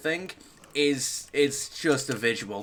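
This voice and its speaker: Noticeable background noise surrounds a man whose voice is pitched fairly high. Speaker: gaming streamer. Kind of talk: live gameplay stream chat. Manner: fast; halting, many fillers and restarts.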